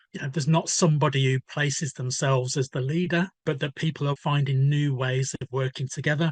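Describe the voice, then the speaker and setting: A somewhat breathy, fairly high male voice at a fairly quick pace with fairly even intonation, dry and close with no echo, against a quiet background. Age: 60s. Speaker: newspaper editor and author. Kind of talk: podcast interview.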